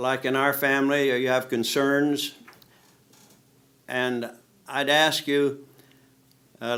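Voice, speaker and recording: With an American accent, a man speaks very slowly in a flat monotone. His medium-pitched voice has a bright, sharp tone. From US Midwest, Indiana. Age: 80s+. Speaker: retired test pilot. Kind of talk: speech to an audience. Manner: informal, conversational.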